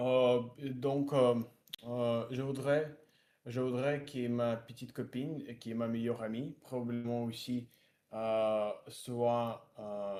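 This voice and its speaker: Speaking at a very slow pace, a man has a dark, mellow tone. His intonation stays fairly even. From Russia, Siberia. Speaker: French learner. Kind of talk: language practice conversation. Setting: video call. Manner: halting, many fillers.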